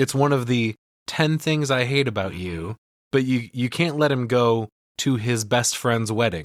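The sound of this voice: The pitch variation is ordinary and the background quiet. It is an unforced reading voice.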